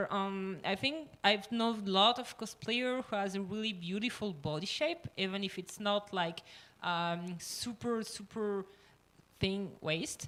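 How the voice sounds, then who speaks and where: Speaking at a fairly slow pace, a woman with a medium pitch uses lively intonation. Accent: French. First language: French. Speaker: cosplayer panelist. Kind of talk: panel discussion. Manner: halting, many fillers.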